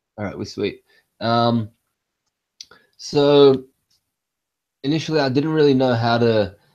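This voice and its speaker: A man with an Australian accent at a fairly slow pace, with long, frequent pauses. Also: medium pitch for a man, ordinary pitch variation. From Western Sydney, Australia (Egyptian-born). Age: 20s. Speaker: poet. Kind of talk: spoken word poetry performance; casual introduction. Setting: live stream from home.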